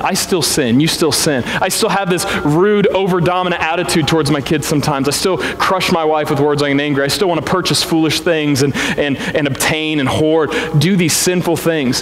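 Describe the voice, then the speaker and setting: Over noticeable background noise and audible room echo, a man with an American accent speaks at a moderate pace and a fairly high pitch, with ordinary pitch variation, very even loudness and hardly any pauses. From Missouri Ozarks, Springfield. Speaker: pastor. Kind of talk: sermon. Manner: conversational, animated.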